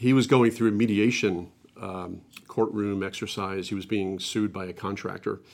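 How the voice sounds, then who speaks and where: A man with a plain, everyday voice talks at a fairly low pitch with ordinary pitch variation on a very clean recording with a silent background. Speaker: business coach and marketing executive. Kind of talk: interview. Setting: studio.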